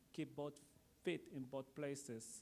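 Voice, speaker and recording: A man's fairly high-pitched voice with a non-native accent and fairly even intonation. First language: not English. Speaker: artist and art school program director. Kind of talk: panel discussion. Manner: halting.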